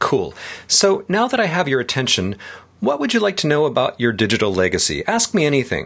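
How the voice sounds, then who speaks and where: The pitch swings very widely, with vocal fry throughout. The pace is fairly quick. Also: man, fairly high pitch for a man. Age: 50s. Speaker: tech writer and podcast host. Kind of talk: scripted dialogue reading.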